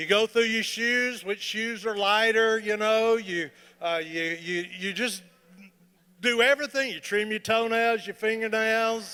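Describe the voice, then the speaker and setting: On a very clean recording with a silent background, a man raises and projects his voice at a high pitch, using a bright, sharp tone and a fairly slow pace. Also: ordinary pitch variation. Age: 60s. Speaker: comedian. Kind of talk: stand-up. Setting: stage with audience. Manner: animated.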